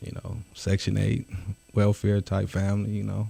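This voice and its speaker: In an American accent, a man speaks with a fairly low pitch and a dark, mellow tone. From Detroit area, Michigan. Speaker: actor, rapper, entrepreneur. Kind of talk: interview. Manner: halting, many fillers.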